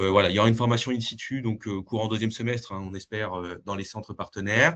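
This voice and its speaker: Speaking at a very fast pace, a man uses a fairly low pitch and fairly even intonation. His loudness swings widely. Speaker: dietitian presenting a research project. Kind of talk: webinar presentation; Q&A answer. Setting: video call webinar. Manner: hesitant, many fillers.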